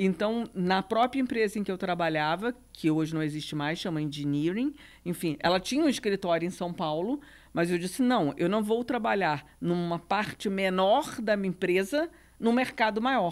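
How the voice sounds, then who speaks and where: On a very clean recording with a silent background, a woman speaks in a Rio de Janeiro accent at a medium pitch. Her intonation is lively and her pace moderate. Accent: Rio de Janeiro (carioca) Portuguese. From Brazil, Rio de Janeiro. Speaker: real estate business executive. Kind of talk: podcast panel interview.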